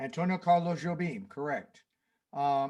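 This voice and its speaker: At a fairly slow pace, a man talks with a high pitch and ordinary pitch variation. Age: 60s. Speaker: jazz pianist and music teacher. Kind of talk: casual chat between songs on a livestream. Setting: home studio livestream. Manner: halting, many fillers.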